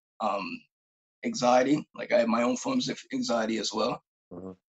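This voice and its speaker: Against a quiet background, a man with a Canadian Maritime accent speaks with very wide pitch swings. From Nova Scotia, Canada. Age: 20s. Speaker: group home worker and mental health advocate. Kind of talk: casual interview. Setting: remote video call. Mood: earnest, personal. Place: home room. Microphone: camera far.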